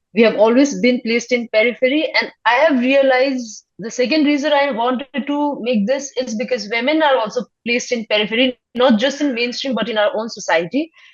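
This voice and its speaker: A woman with a Nepali accent speaks fairly quickly in a high voice, with ordinary pitch variation and hardly any pauses. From Sikkim, India. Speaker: filmmaker. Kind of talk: interview. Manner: halting, many fillers.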